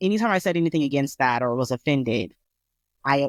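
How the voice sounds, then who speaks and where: Over a very clean recording with a silent background, dry and close with no echo, a woman speaks in a very deep, low pitch with lively intonation at a fairly quick pace. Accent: American. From Colorado. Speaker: podcast co-host. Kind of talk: casual chat. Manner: careful enunciation.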